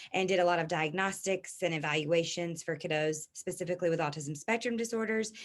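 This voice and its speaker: At a fairly quick pace, a woman with a Southern US accent talks in a fairly low pitch. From Alabama, US South. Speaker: speech language pathologist. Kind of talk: webinar presentation. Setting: online webinar.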